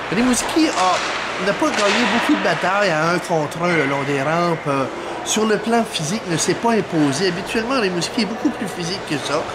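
Lively intonation in a Quebec accent at a moderate pace, against loud background noise. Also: man, high pitch for a man. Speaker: sports commentator. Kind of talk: post-game hockey match recap commentary. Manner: analytical, opinionated. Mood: calm, mildly critical. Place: stadium. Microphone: phone near.

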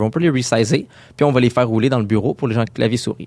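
Recorded very cleanly against a silent background, a man talks at a very fast pace. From Quebec, Montreal area. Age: 20s. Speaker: UX designer. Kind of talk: interview.

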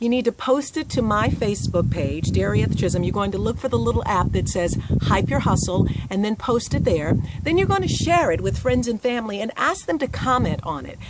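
A woman talks at a fairly quick pace. The sound is dry with no echo, though loud background noise is present. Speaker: host promoting a contest. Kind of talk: casual vlog chat. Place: garden. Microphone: phone near.

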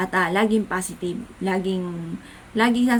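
A woman's plain, everyday voice, medium in pitch, with ordinary pitch variation. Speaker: vlogger. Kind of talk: casual talk to camera.

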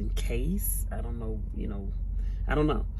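This woman talks at a fairly slow pace, and there is noticeable background noise. The sound is dry with no echo. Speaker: truck driver. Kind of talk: casual talk to camera. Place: car. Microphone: phone near.

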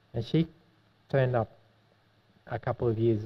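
The man's voice comes out somewhat breathy. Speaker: obstetrician-gynaecologist. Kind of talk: testimony. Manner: passionate. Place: hall. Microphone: podium.

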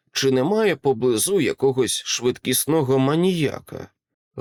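Lively intonation from an unforced reading voice, quiet background behind it

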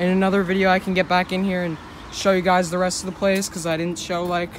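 The pace is fairly quick. The sound is dry with no echo, over light background noise. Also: man. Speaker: vlogger. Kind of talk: casual vlog chat. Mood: a bit wary of getting caught. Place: street. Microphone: phone near.

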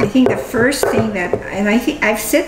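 Loud background noise fills the clip. Over it, a woman speaks at a fairly slow pace. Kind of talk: casual conversation. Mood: reflective, warm. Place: kitchen. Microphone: camera far.

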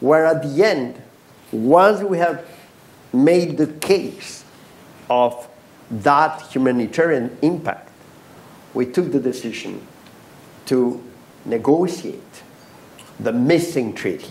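A man's fairly high voice with ordinary pitch variation, a very slow pace and long, frequent pauses. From Mexico. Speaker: diplomat, ambassador; panelist. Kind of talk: panel discussion. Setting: stage with in-person audience. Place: hall. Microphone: lapel.

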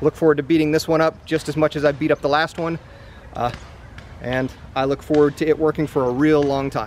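A man talks at a fairly quick pace in a flat monotone. The sound is dry with no echo, and light background noise sits underneath. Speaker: product reviewer. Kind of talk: product review talk to camera. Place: open country.

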